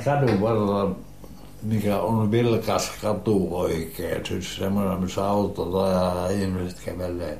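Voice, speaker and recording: A man at a very slow pace with a fairly low pitch and fairly even intonation, amid audible room echo and noticeable background noise. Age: 80s+. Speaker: retired printer, grandfather. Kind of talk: casual reminiscing conversation. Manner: halting.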